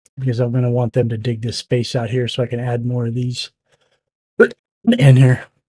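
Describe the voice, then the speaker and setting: A man's medium-pitched voice, dark and mellow in tone, somewhat breathy, flat and monotone, at a moderate pace, with a dry, close sound and no echo. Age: 60s. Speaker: gaming streamer. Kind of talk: live gameplay commentary. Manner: casual, halting.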